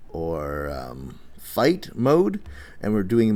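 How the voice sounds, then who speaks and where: The room echo is audible. Through it comes a man's fairly low voice. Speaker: teacher. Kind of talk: lecture. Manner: halting.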